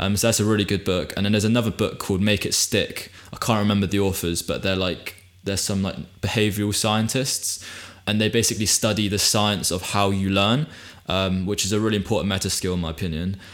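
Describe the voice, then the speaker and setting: A man with a British accent talks very fast in a fairly low pitch, his intonation fairly even. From UK. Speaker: podcast host. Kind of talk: casual chat.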